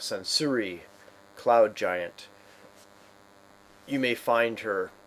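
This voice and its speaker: Using a booming, put-on character voice, a man with a medium pitch speaks at a very slow pace. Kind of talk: grand, proclaiming.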